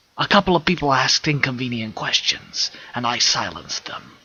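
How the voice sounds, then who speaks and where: At a moderate speed, a man talks. He uses a put-on character voice. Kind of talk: dark first-person audiobook narration. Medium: read story. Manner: brooding, vengeful.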